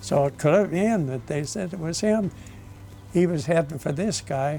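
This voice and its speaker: In an American accent, the speaker is somewhat breathy, with ordinary pitch variation and a fairly slow pace. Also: man. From Southern California. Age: 90s. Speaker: war veteran. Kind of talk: testimony. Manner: halting.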